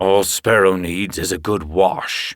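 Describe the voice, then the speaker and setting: A put-on character voice from a man, gruff and raspy, very deep and low, at a fairly slow pace. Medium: read story. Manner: gruff, brusque.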